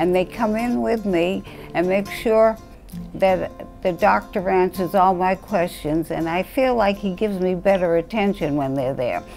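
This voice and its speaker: Faint music plays in the background. The speaker keeps a moderate pace. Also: woman, ordinary pitch variation. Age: 80s+. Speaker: program client. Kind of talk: interview answer. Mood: warm, appreciative. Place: home room. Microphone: lapel.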